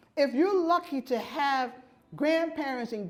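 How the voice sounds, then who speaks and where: Audible room echo surrounds a woman with a high pitch. She speaks in an American accent at a fairly slow pace. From New York City. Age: 60s. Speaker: keynote speaker, urban farmer and food justice advocate. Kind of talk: keynote speech. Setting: conference stage with audience.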